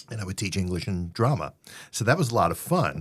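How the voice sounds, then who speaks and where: A man with a New York accent speaks with very wide pitch swings, captured in a very clean recording against a silent background. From New York City (Queens). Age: 60s. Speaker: theater company founder and playwright. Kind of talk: interview. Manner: halting, many fillers.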